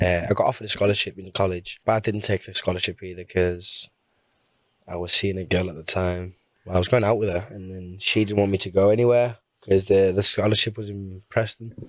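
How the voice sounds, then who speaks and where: Speaking very fast in a northern English accent, a man with a fairly low pitch keeps a monotone, flat intonation while his loudness swings widely, all on a very clean recording with a silent background. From Portugal, raised in Carlisle. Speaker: singer and busker. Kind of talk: interview answer. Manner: casual, chatty.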